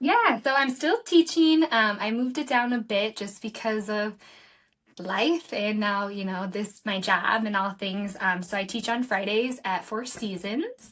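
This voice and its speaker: A woman with an American accent has a normal speaking voice and a fairly high pitch. She moves at a fairly slow pace with ordinary pitch variation. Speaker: nonprofit director. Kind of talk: podcast interview.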